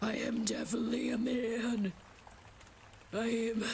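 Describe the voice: Using a put-on character voice, a woman speaks very slowly at a fairly high pitch with fairly even intonation over clear background noise.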